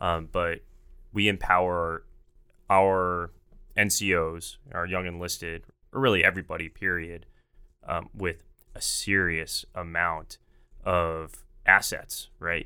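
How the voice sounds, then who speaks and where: Very deep, low male voice in an American accent, bright and sharp in tone, monotone and flat, at a very slow pace with long, frequent pauses, on a very clean recording with a silent background. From Texas, Dallas. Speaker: podcast host, air force. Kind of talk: interview.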